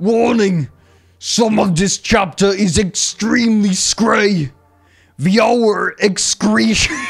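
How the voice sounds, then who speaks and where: This put-on character voice has a fairly high pitch. The pace is very slow. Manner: monstrous.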